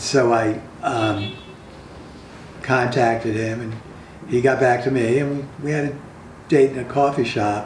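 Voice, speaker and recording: A man's medium-pitched voice at a fairly slow pace, with fairly even intonation, long and frequent pauses, audible room echo and noticeable background noise. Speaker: playwright. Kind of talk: casual interview.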